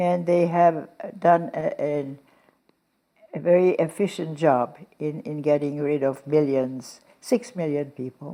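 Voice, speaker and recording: A woman's very deep, low voice with a dark, mellow tone, in a Hungarian accent at a fairly slow pace. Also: ordinary pitch variation. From Hungary. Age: 90s. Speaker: Holocaust survivor and philanthropist. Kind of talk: interview.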